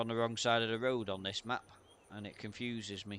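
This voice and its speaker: A man's medium-pitched voice with a British accent, monotone and flat, at a fairly slow pace. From UK. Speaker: gaming streamer. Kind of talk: live gameplay commentary. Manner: casual, hesitant with fillers.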